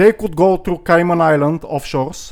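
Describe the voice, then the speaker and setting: Someone with a non-native accent talks at a fairly slow pace, with ordinary pitch variation. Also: man. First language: not English. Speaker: crypto youtuber. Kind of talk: casual vlog monologue. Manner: hesitant, many fillers.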